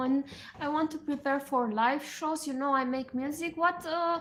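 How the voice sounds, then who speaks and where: A woman talks with a Romanian accent at a high pitch. Her intonation is fairly even. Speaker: musician and livestreamer. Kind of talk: casual livestream chat. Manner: halting.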